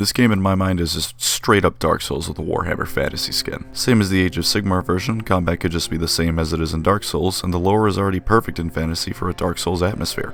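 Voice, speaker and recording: Over noticeable background noise, a man with a very deep, low pitch talks at a very fast pace with hardly any pauses and fairly even intonation. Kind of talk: casual video essay commentary. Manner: flat, deadpan.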